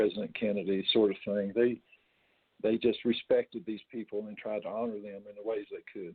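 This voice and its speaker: A man with an Appalachian accent talks at a fairly quick pace in a fairly low pitch, his intonation monotone and flat while his loudness swings widely. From West Virginia. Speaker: retired coal miner and storyteller. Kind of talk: interview answer.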